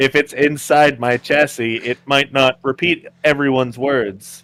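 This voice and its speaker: Using a put-on character voice, a man with a medium pitch speaks at a moderate pace. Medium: actual play. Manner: polite, mild.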